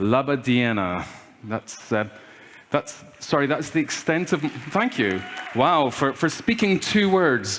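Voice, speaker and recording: Crowd noise fills the background as a man talks at a fairly slow pace. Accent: Scottish. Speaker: keynote speaker. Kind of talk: conference keynote talk. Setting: stage with audience. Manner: animated.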